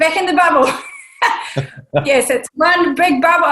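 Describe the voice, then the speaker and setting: Lively intonation marks this woman's speech in a New Zealand accent. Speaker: podcast host. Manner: hesitant, many fillers.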